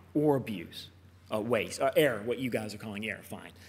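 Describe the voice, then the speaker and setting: Lively intonation from a man with an American accent, on a very clean recording against a silent background. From United States. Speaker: conference speaker, software company representative. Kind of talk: conference talk. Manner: casual, some hesitations.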